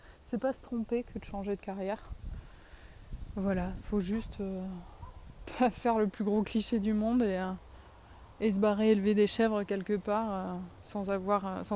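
A woman with a dark, mellow tone speaks at a medium pitch and moderate pace in a monotone, flat intonation. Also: long, frequent pauses. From southern France. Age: 30s. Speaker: podcaster, teacher of deaf children. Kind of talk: casual monologue. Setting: outdoors, in a tree.

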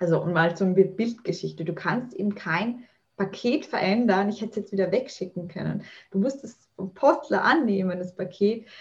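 A woman speaks at a moderate pace in a medium pitch. Her voice is somewhat breathy, with ordinary pitch variation. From Austria. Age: 30s. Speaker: mental trainer and author. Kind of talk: podcast interview.

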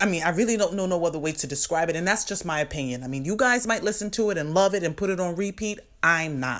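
A woman with a fairly low pitch speaks at a very fast pace, with hardly any pauses, lively intonation and an animated tone. The recording is very clean, with a silent background. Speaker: podcast host. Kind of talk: casual solo commentary.

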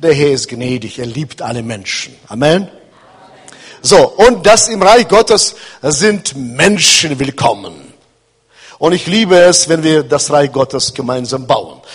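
Speaking at a very slow pace, this voice swings very widely in pitch and leaves long, frequent pauses. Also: man, fairly high pitch for a man. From Kazakhstan. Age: 60s. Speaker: pastor. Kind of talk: sermon. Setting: church.

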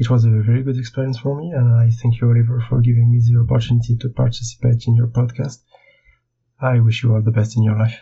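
Speaking at a very fast pace with a French accent, a man sounds somewhat breathy and keeps a monotone, flat intonation. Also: medium pitch for a man. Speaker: illustrator. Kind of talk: recorded interview answers.

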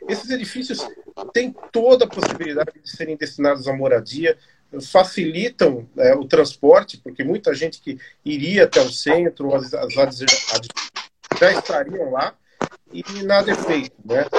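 A man with a fairly high pitch and very wide pitch swings, at a moderate pace with long, frequent pauses. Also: big swings in loudness. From São Paulo, Brazil (eastern periphery). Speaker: live show host, history institute. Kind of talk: interview. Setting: online live stream.

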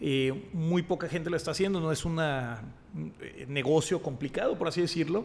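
A fairly high-pitched male voice, an ordinary speaking voice, moderate in pace and with ordinary pitch variation. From Mexico, Monterrey. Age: 30s. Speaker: entrepreneur and investor. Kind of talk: casual chat.

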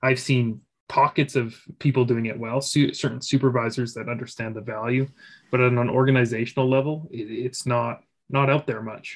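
A man's medium-pitched voice in a monotone, flat intonation at a moderate pace. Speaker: podcast host. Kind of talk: podcast interview, conversational.

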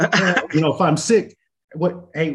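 Somewhat breathy, a man with an American accent speaks at a moderate pace with ordinary pitch variation. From Oceanside, California. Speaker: nonprofit executive. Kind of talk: casual chat.

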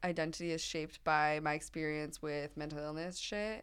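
A woman's bright, sharp tone comes through on a very clean recording with a silent background. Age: 20s. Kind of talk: casual chat.

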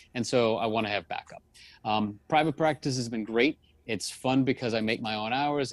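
Fairly quick and at a medium pitch, a man with an American accent speaks in an unremarkable speaking voice, recorded very clean, dry, and close, with a silent background and no echo. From US South, New Orleans. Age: 40s. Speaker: psychologist. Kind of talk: interview.

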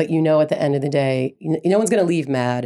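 A woman with an American accent speaks with a very deep, low pitch and a dark, mellow tone. The recording is very clean with a silent background. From Brooklyn, New York. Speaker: TV writer. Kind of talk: panel discussion.

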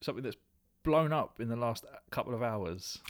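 A man speaks at a medium pitch with a British accent and ordinary pitch variation, in a very clean recording with a silent background. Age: 30s. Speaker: podcast host. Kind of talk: casual chat.

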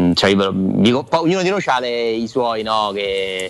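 A man over noticeable background noise. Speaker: sports journalist. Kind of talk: casual chat.

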